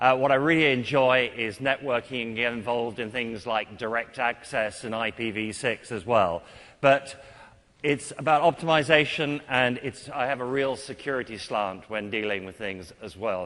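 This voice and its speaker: In a British accent, a man speaks at a moderate pace and medium pitch. His tone is bright and sharp, with ordinary pitch variation. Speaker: IT consultant and conference speaker. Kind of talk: technical conference talk. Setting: stage with audience.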